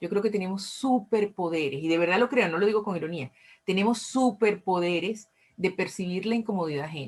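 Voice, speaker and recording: A woman with a Venezuelan accent speaks at a fairly quick pace with ordinary pitch variation. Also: medium pitch for a woman. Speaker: recovery group speaker. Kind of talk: talk to audience. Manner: repetitive, stammering restarts.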